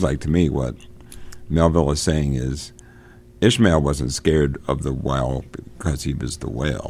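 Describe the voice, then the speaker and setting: A man with a very deep, low voice speaks at a moderate pace with ordinary pitch variation over noticeable background noise. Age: 60s. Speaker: podcast host. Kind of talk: casual discussion of a book. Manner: informal, halting, chatty.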